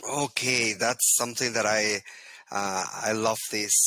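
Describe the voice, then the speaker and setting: A man talks with a Spanish accent and fairly even intonation. The sound is dry and close, with no echo. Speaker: Lean Six Sigma trainer. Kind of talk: interview. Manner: halting.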